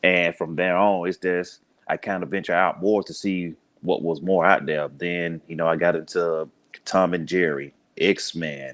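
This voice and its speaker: In a very clean recording with a silent background, a man with a Southern US accent speaks at a very deep, low pitch, fairly slowly and in a flat monotone. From US South, Birmingham, Alabama. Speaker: police officer and podcaster. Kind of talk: casual interview.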